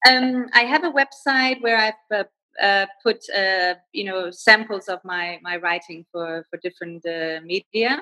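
Spoken with a Danish accent, the voice has lively intonation and big swings in loudness. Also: woman, medium pitch for a woman. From Denmark. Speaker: freelance writer. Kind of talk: interview, casual conversation. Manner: halting, many fillers.

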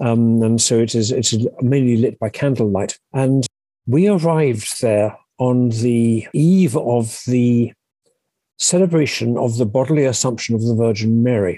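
Speaking fairly slowly with a southern English accent, a man has a medium-pitched, dark and mellow tone and very even loudness. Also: ordinary pitch variation. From southern England, Sussex. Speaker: publisher and literary agent. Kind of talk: interview testimony. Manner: halting, repeats words.

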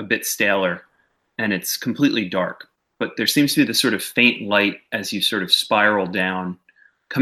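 Lively intonation in plain reading aloud, with a quiet background.

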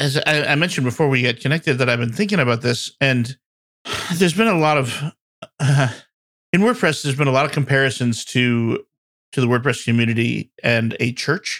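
An unremarkable speaking voice from a man at medium pitch, fairly quick in pace, with very even loudness and ordinary pitch variation. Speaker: podcast co-host. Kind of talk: casual chat.

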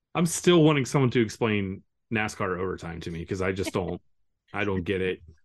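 Fairly low in pitch, a man talks at a fairly quick pace with lively intonation in an unremarkable speaking voice. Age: 40s. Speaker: comic book letterer. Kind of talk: casual interview.

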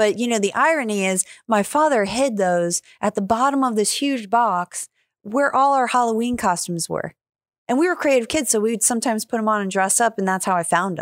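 A woman with an American accent talks at a fairly quick pace, in an ordinary speaking voice with ordinary pitch variation and a dry, close sound with no echo. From New York. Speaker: podcast host and stand-up comedian. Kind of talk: casual chat.

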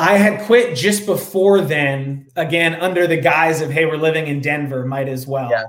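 Using a normal speaking voice, a man with a fairly high pitch speaks at a moderate pace with ordinary pitch variation and hardly any pauses. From New York area (Rye, NY). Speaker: beverage company co-founder. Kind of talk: interview.

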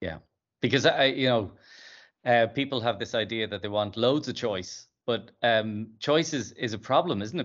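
Speaking at a moderate pace and medium pitch with ordinary pitch variation, the man has a normal speaking voice. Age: 50s. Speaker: podcast host and company CEO. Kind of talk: interview.

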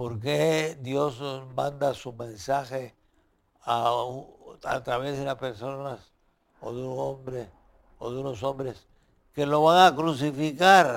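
Long, frequent pauses break up a man's very slow speech, which has a medium pitch and big swings in loudness. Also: ordinary pitch variation. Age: 90s. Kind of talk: interview about his book.

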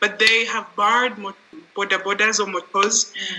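A woman with a fairly high voice is heard over noticeable background noise. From Rwanda. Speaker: mental health advocate. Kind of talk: casual chat.

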